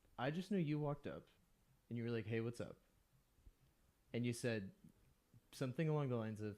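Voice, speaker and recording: A man with an American accent talks at a very fast pace, though with long, frequent pauses. His tone is dark and mellow, and his intonation is lively. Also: medium pitch for a man. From Texas, Austin. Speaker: podcast co-host. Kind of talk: casual chat.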